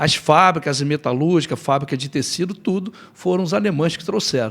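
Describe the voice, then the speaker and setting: Talking at a moderate pace, a man with an unremarkable speaking voice uses a fairly high pitch and ordinary pitch variation. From Nova Friburgo, Rio de Janeiro state, Brazil. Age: 60s. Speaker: lawyer and mayoral candidate. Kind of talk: interview, life story.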